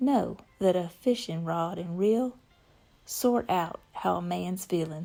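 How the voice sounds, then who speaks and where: Music plays in the background as a woman with a slight Southern accent speaks at a very slow pace. Her pitch is fairly low, with ordinary pitch variation. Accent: slight southern drawl. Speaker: spoken word poet. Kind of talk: poetry reading.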